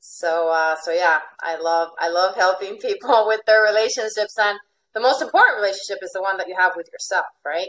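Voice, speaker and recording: Speaking in a normal speaking voice with an American accent, a woman talks at a fairly quick pace and medium pitch, with ordinary pitch variation and big swings in loudness. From Venezuela. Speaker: life coach. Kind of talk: interview. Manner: frequent fillers and repetitions.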